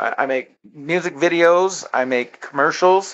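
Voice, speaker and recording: A man talks at a moderate pace in a high voice. His pitch varies in an ordinary way. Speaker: social network promoter. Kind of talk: sales pitch. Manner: slurring words.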